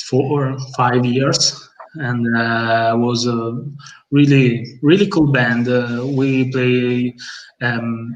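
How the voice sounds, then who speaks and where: In an Italian accent, a man speaks at a very slow pace amid audible room echo. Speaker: bassist in a metal band. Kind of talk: casual interview chat. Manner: halting, many fillers.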